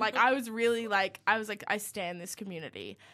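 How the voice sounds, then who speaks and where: A woman speaks at a moderate pace in a medium-pitched voice with a bright, sharp tone and fairly even intonation. The recording is very clean, with a silent background. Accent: Australian. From Australia, New South Wales north coast. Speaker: student radio producer. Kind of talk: casual chat.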